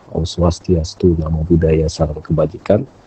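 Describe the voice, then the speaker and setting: The man's pitch is very deep and low. The sound is dry and close, with no echo. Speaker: philosophy talk show host. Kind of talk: casual discussion on live stream. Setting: Instagram live stream.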